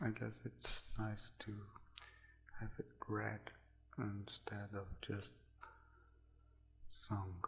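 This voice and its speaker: Soft-spoken and whispering with vocal fry, this voice moves at a very slow pace broken by long, frequent pauses. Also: man. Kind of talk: casual talk to camera. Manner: soft-spoken, whispered.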